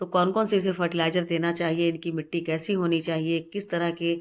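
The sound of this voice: Talking at a fairly quick pace, a woman keeps her pitch with little movement. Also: fairly low pitch for a woman.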